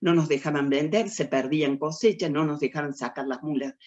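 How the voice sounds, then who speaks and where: Against a quiet background, a woman with a very deep, low voice and a dark, mellow tone speaks at a moderate pace. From Argentina, Córdoba. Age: 80s+. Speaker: writer. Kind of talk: lecture.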